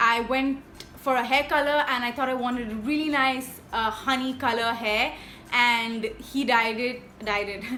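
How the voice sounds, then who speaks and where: Room echo is audible around a woman's high-pitched voice. She speaks at a fairly slow pace. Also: fairly even intonation. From India. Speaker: YouTuber. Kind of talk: casual vlog monologue.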